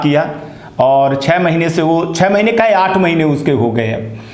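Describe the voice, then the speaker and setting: Over noticeable background noise and audible room echo, a man talks in a high pitch with ordinary pitch variation. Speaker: news channel host. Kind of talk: news commentary.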